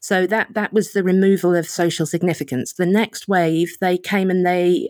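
A woman speaks with an Essex accent at medium pitch and a moderate pace. The sound is dry and close, with no echo. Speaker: political and cultural writer, magazine editor. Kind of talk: casual interview conversation.

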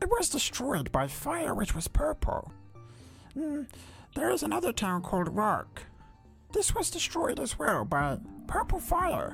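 Someone speaks in a put-on character voice at a fairly slow pace. Clear music plays in the background. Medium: actual play. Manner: polite, earnest, slightly rambling.

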